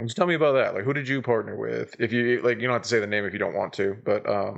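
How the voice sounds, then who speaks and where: Very fast speech with vocal fry and ordinary pitch variation. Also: man, medium pitch for a man. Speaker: podcast host. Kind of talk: casual chat. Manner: loud. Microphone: poor quality, sounds faint like a ghost.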